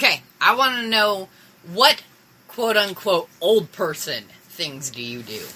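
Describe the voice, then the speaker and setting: Amid noticeable background noise, a woman speaks at a fairly slow pace and medium pitch, with very wide pitch swings and big swings in loudness. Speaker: podcast co-host. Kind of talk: casual chat. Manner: slurred speech.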